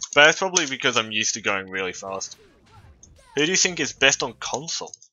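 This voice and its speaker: Lively intonation carries this fairly quick delivery. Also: man, long, frequent pauses. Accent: slight Australian. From Australia. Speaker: video game streamer. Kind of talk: casual live-stream chat. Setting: live stream.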